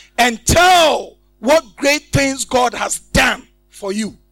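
Music plays in the background as a man speaks. His tone is animated, with ordinary pitch variation. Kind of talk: sermon with call-and-response, leading the congregation in scripture reading. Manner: animated, exhorting, repeatedly prompting the crowd to shout amen; repetitive, emphatic, rhetorical questions.

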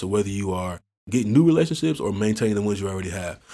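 Recorded very cleanly against a silent background, a man with an American accent speaks in a dark, mellow tone at fairly low pitch. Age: 30s. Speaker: entrepreneur. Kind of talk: casual chat.

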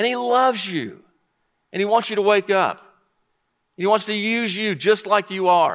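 A man projects a raised voice with a high pitch and a bright, sharp tone. The recording is very clean, with a silent background. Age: 60s. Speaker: pastor. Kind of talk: sermon.

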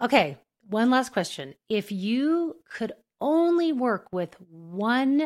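With very wide pitch swings, a woman speaks in an American accent in a very clean recording with a silent background. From New Mexico, US. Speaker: podcast host, speech-language pathologist. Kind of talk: interview, casual professional chat.

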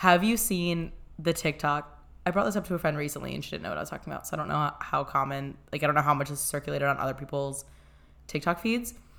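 Speaking at a very fast pace, a woman with a very deep, low pitch uses lively intonation and vocal fry. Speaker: podcast co-host. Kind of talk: casual chat. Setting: echoey room. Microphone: echoey, not holding the mic.

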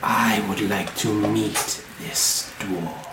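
Over loud background noise and a slight echo, a man puts on a character voice at a fairly low pitch. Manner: ominous.

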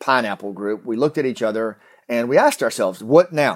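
The speaker has an American accent. The recording is very clean and the background silent. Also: man. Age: 50s. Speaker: podcast host, retired Green Beret. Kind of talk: casual monologue. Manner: halting.

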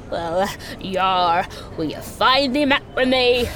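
In a put-on character voice, a female-sounding speaker uses a fairly high pitch at a fairly slow pace over clear background noise. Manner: playful.

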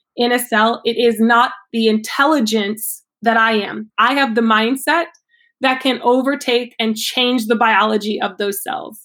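An ordinary speaking voice: a woman with an American accent talks at a fairly slow pace and a fairly high pitch, with fairly even intonation, on a very clean recording with a silent background. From Ohio, US Midwest. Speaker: yoga teacher and fitness coach. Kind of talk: interview.

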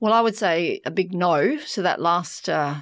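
Speaking with an Australian accent and ordinary pitch variation, a woman has a fairly low pitch against a quiet background. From Western Australia (York, country town). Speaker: human rights professor. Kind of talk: interview.

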